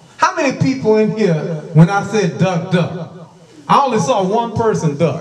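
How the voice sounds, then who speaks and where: A man speaks at a moderate pace in a high voice. Noticeable background noise runs underneath. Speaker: preacher. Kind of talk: sermon with opening prayer. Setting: church. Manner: fervent, repetitive, exhortative. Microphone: handheld.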